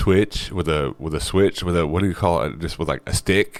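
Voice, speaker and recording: The voice carries vocal fry over fairly even intonation. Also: man. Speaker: vlogger and thrift reseller. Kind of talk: casual vlog monologue.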